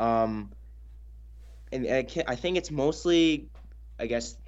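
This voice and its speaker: A man does the talking here. His accent is Canadian. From northern British Columbia, Canada. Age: young. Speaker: recent high school graduate and nonprofit founder. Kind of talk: interview.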